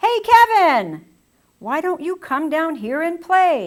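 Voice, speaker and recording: In a put-on character voice, a woman speaks extremely high and squeaky, raised and projected. Her tone is cheerful and her pace fairly slow. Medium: read story. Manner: loud, cheerful.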